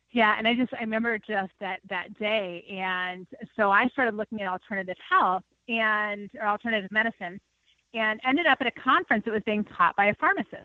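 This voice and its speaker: Against a quiet background, a bright, sharp voice with a slight Minnesota accent moves at a fairly quick pace. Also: woman, fairly high pitch for a woman, ordinary pitch variation. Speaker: nutrition consultant. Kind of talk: interview.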